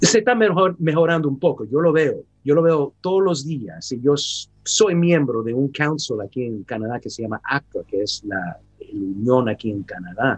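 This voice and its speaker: Speaking at a fairly slow pace with hardly any pauses, a man uses a fairly high pitch and very wide pitch swings. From San Francisco, California, US. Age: 50s. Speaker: actor. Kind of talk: interview. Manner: halting.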